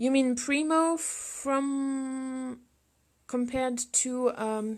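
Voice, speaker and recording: A woman speaks with a French accent on a very clean recording, silent background. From France. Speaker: sculptor. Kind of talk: live sculpting demonstration with Q&A. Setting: studio livestream. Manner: halting. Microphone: laptop.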